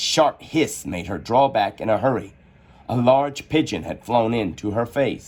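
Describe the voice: The passage is read out plainly.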